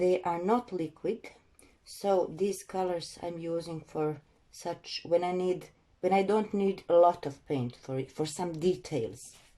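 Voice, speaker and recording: Speaking with a non-native accent at a fairly slow pace, a woman has a fairly low pitch, a dark, mellow tone and ordinary pitch variation. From Croatia. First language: Croatian. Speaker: acrylic pouring artist. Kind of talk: tutorial. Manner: halting.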